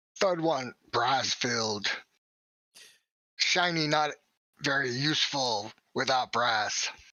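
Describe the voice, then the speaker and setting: A raspy put-on character voice at a low-to-middle pitch, fairly slow, with long, frequent pauses. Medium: actual play. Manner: clipped, few words.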